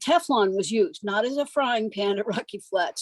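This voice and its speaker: Here is a woman with an ordinary speaking voice. She talks at a moderate pace. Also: dry, close sound with no echo. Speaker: community advisory group member. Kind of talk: public meeting comment.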